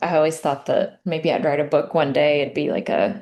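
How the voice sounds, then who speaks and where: A woman's dark, mellow voice with an Appalachian accent. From US South, Appalachia (Southwest Virginia coal country). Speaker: memoir author. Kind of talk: interview. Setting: podcast interview.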